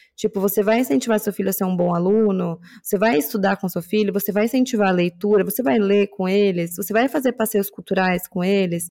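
A woman with a São Paulo accent has a dark, mellow tone and ordinary pitch variation. She talks at a fairly quick pace with hardly any pauses, in a dry, close sound with no echo. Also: medium pitch for a woman. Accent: Paulistano Brazilian Portuguese. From São Paulo, Brazil (Zona Norte). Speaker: podcast co-host. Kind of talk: casual chat.

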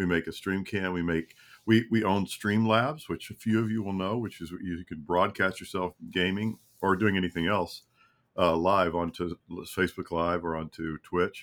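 This man's very deep, low voice moves at a moderate pace with fairly even intonation. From Kentucky. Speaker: company CEO. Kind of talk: interview. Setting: video call.

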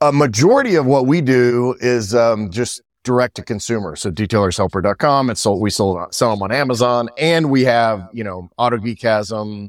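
A plain, everyday voice, a man at medium pitch, moderate pace with hardly any pauses, ordinary pitch variation, and a very clean recording over a silent background. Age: 50s. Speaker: entrepreneur. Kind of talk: casual chat.

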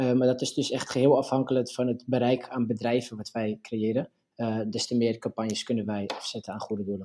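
Flat and monotone, a man speaks in a dark, mellow tone. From Netherlands, Purmerend (North Holland). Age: 20s. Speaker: startup co-owner, law student. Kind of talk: interview.

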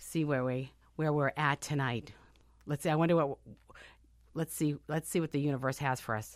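With an American accent and a very deep, low pitch, a woman speaks at a moderate pace with fairly even intonation and long, frequent pauses, in a dry, close sound with no echo on a very clean recording with a silent background. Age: 50s. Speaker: radio talk show host. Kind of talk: casual radio chat. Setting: radio studio.

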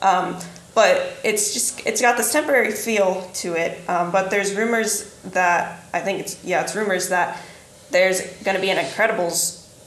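A woman at medium pitch and moderate pace, ordinary pitch variation, with audible room echo and noticeable background noise. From southeastern Indiana. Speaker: podcast co-host. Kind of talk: casual chat.

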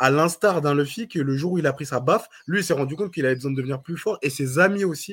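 Somewhat breathy, a man talks very fast. His pitch is fairly high, with ordinary variation. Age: 20s. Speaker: podcast co-host. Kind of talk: casual chat.

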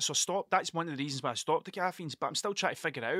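In a very clean recording with a silent background and a dry, close sound with no echo, a man speaks at a fairly high pitch with a bright, sharp tone and ordinary pitch variation.

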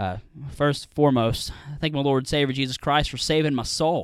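The voice belongs to a man. He talks at a fairly quick pace. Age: young. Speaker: podcast co-host, college student. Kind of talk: casual chat.

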